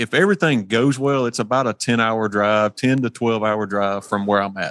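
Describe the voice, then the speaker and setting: A man with a Mississippi accent talks at a moderate pace, his medium pitch showing ordinary variation. The sound is dry and close, with no echo. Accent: Mississippi Southern US. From US South, Hernando, Mississippi. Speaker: competition barbecue cook. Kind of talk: casual interview chat. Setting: remote from a shop.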